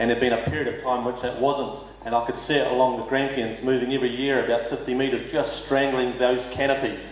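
A man with a New Zealand accent talks at a fairly quick pace in a medium pitch, his intonation monotone and flat, with audible room echo. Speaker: mayoral candidate; candidate. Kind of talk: candidate forum speech. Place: hall.

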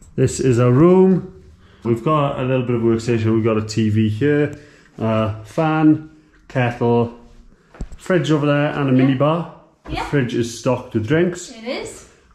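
A man speaks at a fairly slow pace with ordinary pitch variation and audible room echo. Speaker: travel vlogger. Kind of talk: casual vlog chat. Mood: relaxed, cheerful. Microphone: phone near.

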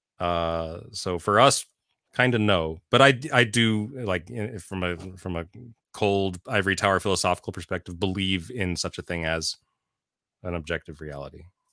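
A man's very deep, low voice with a bright, sharp tone, moderate pace and ordinary pitch variation, dry with no echo against a quiet background. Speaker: tech manager and songwriter; interview guest. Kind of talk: interview. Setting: remote call. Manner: thoughtful, halting. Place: home room. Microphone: studio mic.

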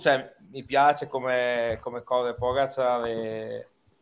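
This man's delivery is very slow. His tone changes only a little, staying fairly even. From Reggio Emilia, Italy; Italy. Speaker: fantasy cycling player. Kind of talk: casual chat. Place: home room.

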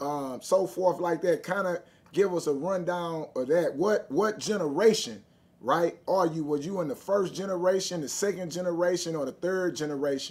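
A man speaks at a moderate pace. His pitch is high, with ordinary variation. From Texas. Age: 40s. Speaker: podcast host. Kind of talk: casual interview; casual interview talk. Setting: online livestream. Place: office. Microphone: earbuds.

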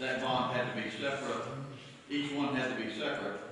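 A man speaks amid strong room echo. Light background noise is also present. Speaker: county official at council meeting. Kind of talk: meeting explanation. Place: meeting room.

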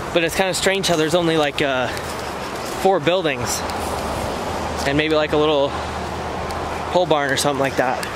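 Loud background noise runs behind a man speaking at a fairly quick pace, his voice dry with no echo. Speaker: vlogger exploring. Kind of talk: casual vlog chat. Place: open country. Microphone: phone near.

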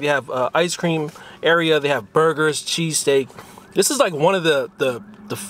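A man at a fairly quick pace, the sound dry with no echo. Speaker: food vlogger host. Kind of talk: casual food review chat. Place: car.

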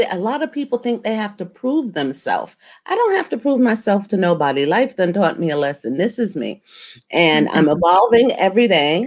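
A woman speaks at a fairly quick pace, her pitch swinging very widely, over a quiet background. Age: 50s. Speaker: talk show host. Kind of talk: interview. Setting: video call. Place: home room. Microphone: webcam.

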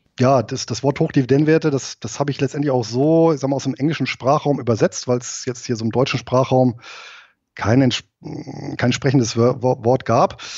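A man with an unremarkable speaking voice talks at a moderate pace, his medium pitch carried by fairly even intonation. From Rhineland, Germany. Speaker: investor and IT company manager, ex-soldier. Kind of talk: interview.

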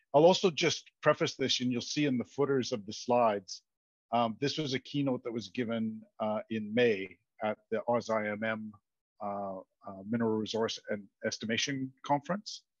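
A man at a moderate pace with ordinary pitch variation, dry sound with no echo, and a quiet background. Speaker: presenter. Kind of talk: lecture. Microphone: headset.

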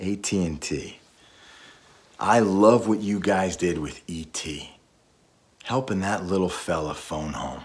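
A man with a very deep, low pitch and ordinary pitch variation, at a very slow pace with long, frequent pauses. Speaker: voice actor; war veteran. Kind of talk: casual talk to camera. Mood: earnest, friendly, a bit playful. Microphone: phone near.

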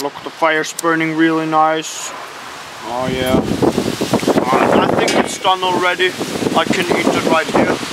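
Loud background noise surrounds a man speaking at a fairly slow pace with long, frequent pauses. The sound itself is dry, with no echo. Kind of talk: comedic vlog commentary. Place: garden. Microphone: phone near.

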